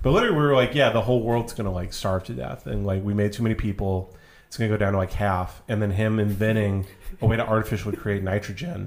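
With noticeable background noise behind it, a very fast American-accented voice moves along with ordinary pitch variation. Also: man, fairly low pitch for a man. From rural Texas. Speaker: guest. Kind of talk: casual chat.

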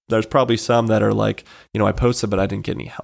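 Very fast, fairly low-pitched male speech with vocal fry, an American accent and fairly even intonation on a very clean recording with a silent background. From Colorado. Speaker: startup founder. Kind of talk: casual interview. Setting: studio.

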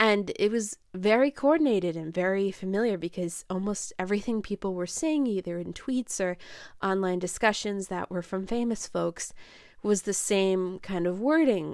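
Speaking with an American accent, a woman has a plain, everyday voice at a medium pitch with lively intonation. The recording is very clean, with a silent background. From upstate New York. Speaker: film podcast host. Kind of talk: casual solo review podcast. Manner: frequent laughs and fillers.

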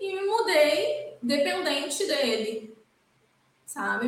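A woman's voice is heard with audible room echo. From Brazil, Espírito Santo interior. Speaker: criminal lawyer. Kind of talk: interview.

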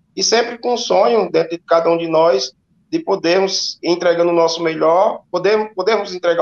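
At a fairly quick pace, a man speaks in a high voice with ordinary pitch variation. The sound is dry and close, with no echo. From Juazeiro do Norte, Ceará, Brazil. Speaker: football coach. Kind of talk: interview. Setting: remote call into live show.

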